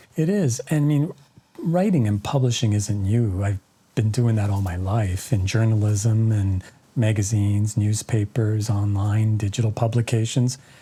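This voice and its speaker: A man speaks with a Canadian accent at a fairly low pitch and a moderate pace, with ordinary pitch variation. Music plays behind him. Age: 60s. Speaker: author and journalist. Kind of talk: interview. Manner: halting, many fillers.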